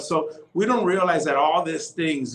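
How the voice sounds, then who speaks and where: Speaking with an American accent, a man uses a fairly high voice with ordinary pitch variation. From Texas. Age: 40s. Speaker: pastor. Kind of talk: casual chat. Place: home room. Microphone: video call.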